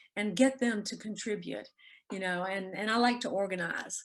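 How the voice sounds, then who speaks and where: A woman speaks in a Southern US accent with ordinary pitch variation. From Mississippi (Jackson). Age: 70s. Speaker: author. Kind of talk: interview.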